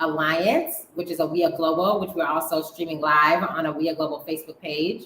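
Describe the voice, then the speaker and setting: Amid noticeable background noise, a woman speaks fairly low in pitch at a fairly quick pace. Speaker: talk show host. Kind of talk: live online round table show. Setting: live video stream.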